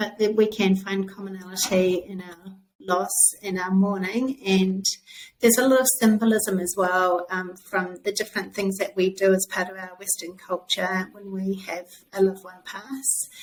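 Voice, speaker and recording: A woman speaks with a New Zealand accent, her intonation fairly even while her loudness swings widely. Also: medium pitch for a woman, moderate pace. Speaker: author. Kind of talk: interview.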